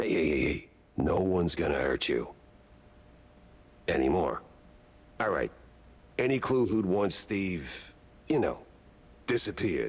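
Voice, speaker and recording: A man puts on a raspy character voice, pitched fairly low, at a moderate pace. He leaves long, frequent pauses. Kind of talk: hard-boiled noir voice-over. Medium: video game. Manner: dry, sardonic, clipped.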